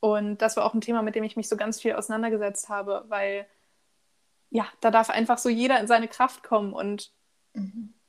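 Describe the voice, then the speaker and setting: Monotone, flat intonation at a moderate pace. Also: woman, fairly high pitch for a woman. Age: 20s. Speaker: podcaster. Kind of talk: casual chat.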